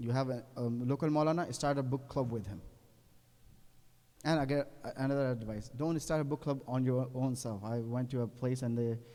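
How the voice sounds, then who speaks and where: This man speaks at a medium pitch with a non-native accent, a dark, mellow tone and fairly even intonation. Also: moderate pace. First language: not English. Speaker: Islamic cleric. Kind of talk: religious lecture. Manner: halting, self-correcting.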